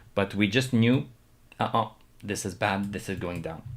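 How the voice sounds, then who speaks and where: Someone with a slight non-native accent speaks in a very clean recording with a silent background. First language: not English. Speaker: stock market streamer. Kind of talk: live stream commentary. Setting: live stream. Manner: hesitant, many fillers.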